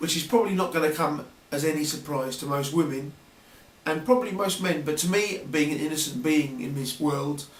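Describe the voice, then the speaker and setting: A man with a southern English accent and a fairly high pitch speaks over noticeable background noise, with audible room echo. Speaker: video blogger. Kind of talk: casual vlog monologue. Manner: hesitant, many fillers.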